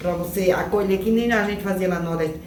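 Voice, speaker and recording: Over noticeable background noise and audible room echo, a woman with a fairly low voice speaks at a very fast pace with ordinary pitch variation. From Northeast Brazil, Rio Grande do Norte. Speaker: migrant interviewee. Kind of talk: casual interview.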